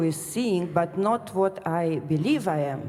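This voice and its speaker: With a non-native accent, a woman speaks fairly slowly at a fairly low pitch with ordinary pitch variation over noticeable background noise. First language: not English. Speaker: retreat participant. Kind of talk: question to a teacher. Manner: halting, many fillers.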